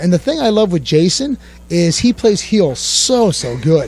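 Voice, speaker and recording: There is noticeable background noise as a man speaks with an American accent. His pace is moderate and his pitch variation ordinary. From US Northeast (Pennsylvania). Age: 30s. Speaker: pro wrestler. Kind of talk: interview. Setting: sit-down interview.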